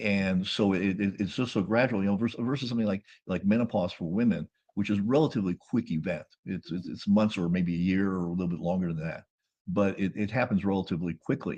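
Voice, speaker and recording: With an American accent, a man talks at a very fast pace. His pitch variation is ordinary. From US Southwest (Phoenix, Arizona). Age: 70s. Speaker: life coach and physician. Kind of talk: interview. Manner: halting, many fillers and repeats.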